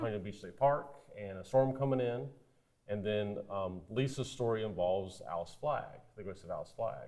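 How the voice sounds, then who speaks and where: A man speaks in an American accent at a moderate pace, with a fairly low pitch and a dark, mellow tone. His pitch varies an ordinary amount while his loudness swings widely. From South Carolina. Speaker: author. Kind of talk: TV interview. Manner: halting, many repeated words.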